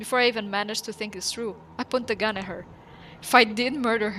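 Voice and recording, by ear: Fairly even intonation from a natural voice reading aloud.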